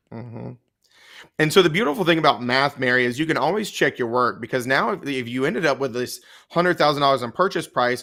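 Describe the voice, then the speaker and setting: Delivered at a very fast pace in a Southern US accent, the voice has a bright, sharp tone and ordinary pitch variation. The recording is very clean, with a silent background. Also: man. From US South. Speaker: real estate exam tutor. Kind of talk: live-stream Q&A tutorial.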